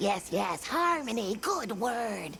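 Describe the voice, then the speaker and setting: A put-on character voice at a fairly high pitch over clear background noise. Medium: video game. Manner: quaint broken grammar, chirpy.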